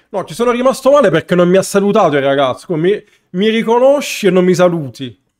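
A man talking very fast in a high voice, his pitch swinging very widely up and down. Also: quiet background. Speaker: streamer, card game player; streamer. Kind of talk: live stream gameplay chat. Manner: casual, conversational. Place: home room.

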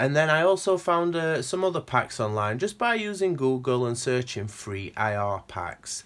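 A man at a medium pitch talks with hardly any pauses and very wide pitch swings. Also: moderate pace, very clean recording, silent background. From northern England, Sheffield. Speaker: guitar gear demonstrator. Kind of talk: tutorial. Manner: casual, with hesitations.

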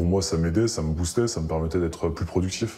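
Talking at a fairly quick pace, a man has a very deep, low pitch. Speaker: human resources worker, drug user. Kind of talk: interview.

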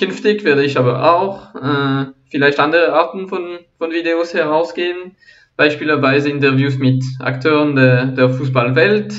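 Speaking fairly slowly in a French accent, a man uses a fairly high voice with ordinary pitch variation. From Switzerland. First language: French (speaking German). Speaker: football analysis YouTuber. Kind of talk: channel introduction monologue. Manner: halting, frequent repetitions and fillers.

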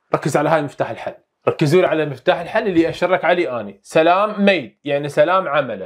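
The speaker talks with an Iraqi accent and lively intonation. The background is quiet. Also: man. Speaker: English teacher. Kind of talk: lesson. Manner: repetitive, drilling phrases. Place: studio. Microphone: lapel.

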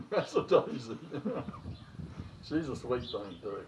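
Background noise is noticeable. A man speaks at a moderate pace. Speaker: cow owner, grandfather. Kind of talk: casual talk to camera. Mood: warm, fond, relaxed.

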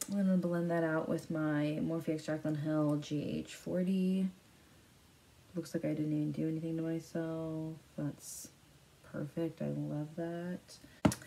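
In a very deep, low pitch and a dark, mellow tone, a woman speaks at a very slow pace. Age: 20s. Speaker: beauty YouTuber. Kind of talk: makeup tutorial. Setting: home filming to camera. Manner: animated, giggly.

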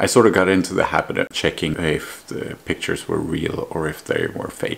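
A man at a moderate pace. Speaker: travel vlogger. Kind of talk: casual storytelling narration. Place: home room.

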